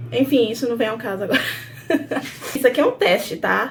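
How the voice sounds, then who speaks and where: This woman's voice is high in pitch, with ordinary pitch variation. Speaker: vlogger. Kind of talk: casual vlog talk.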